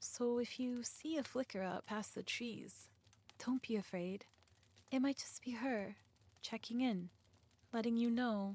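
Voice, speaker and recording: A soft-spoken woman, fairly high in pitch, with a gentle, calm tone, ordinary pitch variation, a fairly slow pace and long, frequent pauses. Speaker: ASMR creator. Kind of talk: ASMR roleplay, supportive comfort talk to the listener. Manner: soft-spoken, gentle, calm.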